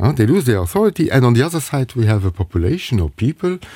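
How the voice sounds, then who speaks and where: A man's medium-pitched, somewhat breathy voice with a dark, mellow tone and very wide pitch swings, dry and close with no echo, in a very clean recording with a silent background. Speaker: parent representative and psychotherapist. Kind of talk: radio interview. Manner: halting.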